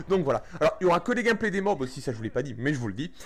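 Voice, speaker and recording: A man speaks with lively intonation. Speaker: gaming YouTuber. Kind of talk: gameplay commentary. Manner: fast; poor articulation.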